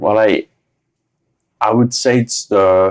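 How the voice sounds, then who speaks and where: Speaking with a French accent, a man uses fairly low pitch and ordinary pitch variation. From France. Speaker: business executive. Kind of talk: interview. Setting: studio.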